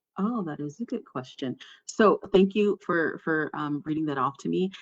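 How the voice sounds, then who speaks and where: Her voice sits fairly low for a woman, with lively intonation. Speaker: workshop presenter on gender inclusion. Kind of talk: online workshop presentation. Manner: fast.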